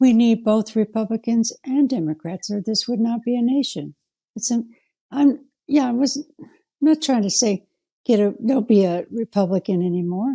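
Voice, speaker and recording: A woman with a fairly high pitch and a dark, mellow tone talks at a moderate pace with ordinary pitch variation. The sound is dry and close with no echo, set against a quiet background. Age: 70s. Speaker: interview guest. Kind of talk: interview.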